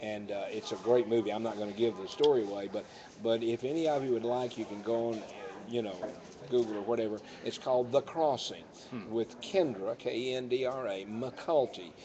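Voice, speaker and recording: Over noticeable background noise, a man speaks at a fairly quick pace in a medium pitch with ordinary pitch variation. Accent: American. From United States. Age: 60s. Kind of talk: live talk show. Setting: live stream recorded on a tablet. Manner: folksy.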